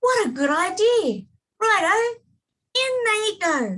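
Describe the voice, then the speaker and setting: A woman puts on a squeaky, sing-song character voice at an extremely high pitch. She keeps to a fairly slow pace. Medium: read story. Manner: gleeful, sing-song.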